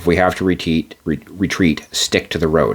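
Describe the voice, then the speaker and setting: In a put-on character voice, a man speaks quietly at a moderate pace, very deep and low in pitch, raspy, with monotone, flat intonation. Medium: read story. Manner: terse, quiet commands.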